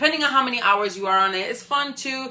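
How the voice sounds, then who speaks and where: Over noticeable background noise, a woman talks at a very fast pace. Her tone is animated, with ordinary pitch variation. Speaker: live stream host, motivational speaker. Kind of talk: motivational talk. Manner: loud.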